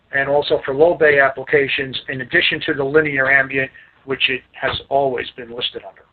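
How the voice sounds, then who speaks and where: Here a man speaks with a fairly high pitch. His pace is moderate. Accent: New York. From Staten Island, New York. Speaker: lighting sales rep. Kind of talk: product training presentation. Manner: casual.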